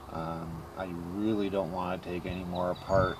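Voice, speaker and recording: A man's very deep, low voice against noticeable background noise. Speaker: car restoration hobbyist vlogger. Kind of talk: casual video blog. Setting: outdoors. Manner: loud; hesitant, many fillers.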